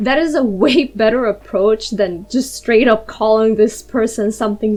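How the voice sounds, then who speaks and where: A woman with a non-native accent, fairly high pitch and animated tone, at a fairly slow pace. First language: not English. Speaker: YouTuber and digital artist. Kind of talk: casual story-time monologue.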